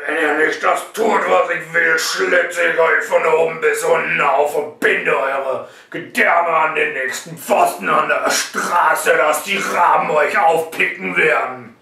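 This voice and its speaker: A man's put-on character voice, fairly high and fairly slow, with slight echo. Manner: menacing, intimidating.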